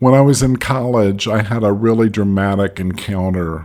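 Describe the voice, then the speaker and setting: Speaking fairly slowly, a man with an unremarkable speaking voice keeps a fairly low pitch and ordinary pitch variation. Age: 60s. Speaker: former pastor and soul care mentor. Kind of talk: casual interview.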